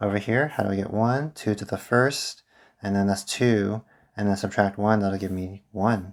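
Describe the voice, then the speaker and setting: A man speaks at a moderate pace in a plain, everyday voice. His pitch is fairly low and his intonation fairly even. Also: very clean recording, silent background. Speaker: math teacher. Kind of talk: tutorial.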